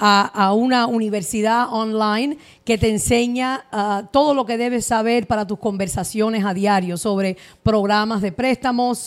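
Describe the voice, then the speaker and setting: A woman speaks in a normal speaking voice. Her pace is fairly slow and her intonation fairly even. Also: fairly high pitch for a woman. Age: 40s. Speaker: mortgage advisor. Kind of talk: interview.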